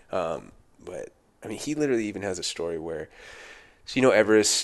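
A man with an American accent speaks at a fairly quick pace against a quiet background. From Southern California, Thousand Oaks. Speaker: firefighter. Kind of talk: casual chat.

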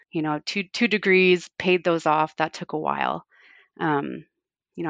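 With a Canadian accent, a woman talks at a moderate pace over a quiet background. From Canada, Fort Frances, Ontario. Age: 40s. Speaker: home cook and food Instagrammer. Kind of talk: casual interview.

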